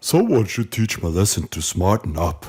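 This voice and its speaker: A man speaks in a put-on character voice. His pitch sits fairly low. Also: moderate pace. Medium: audio drama. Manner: curious, wondering.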